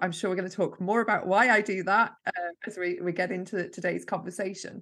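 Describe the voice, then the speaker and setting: A woman of medium pitch speaks against a quiet background. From Yorkshire, northern England. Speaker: marketing mentor. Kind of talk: interview. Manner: energetic.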